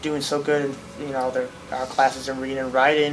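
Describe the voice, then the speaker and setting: Over noticeable background noise, a man with an American accent talks at a moderate pace in a fairly high, flat, monotone voice. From US Midwest, Akron, Ohio. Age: 20s. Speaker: welder and obstacle racer. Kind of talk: interview. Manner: casual, lots of fillers.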